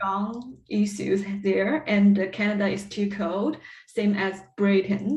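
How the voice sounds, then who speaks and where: Speaking at a very slow pace, a woman with a Chinese accent keeps a medium pitch and fairly even intonation. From China. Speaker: PhD candidate and music teacher. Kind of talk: interview. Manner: halting.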